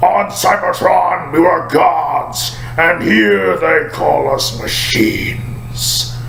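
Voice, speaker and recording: A man in a put-on character voice over loud background noise. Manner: solemn.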